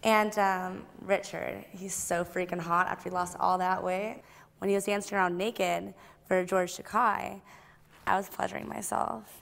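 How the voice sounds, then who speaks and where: At a moderate pace, a woman reads out with fairly even intonation. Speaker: guest. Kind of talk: interview answer. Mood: playful, flirty. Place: studio.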